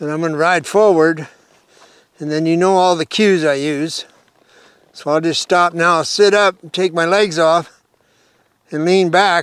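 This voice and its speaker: A man with a high-pitched voice speaks at a fairly slow pace with long, frequent pauses and fairly even intonation, in a dry recording with no echo and a quiet background. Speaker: horse trainer. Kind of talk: tutorial. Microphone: lapel.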